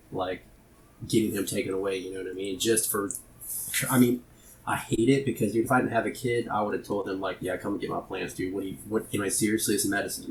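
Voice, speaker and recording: Somewhat breathy delivery, very fast, with ordinary pitch variation. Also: man, fairly low pitch for a man. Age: 30s. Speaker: cannabis home grower. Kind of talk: casual chat.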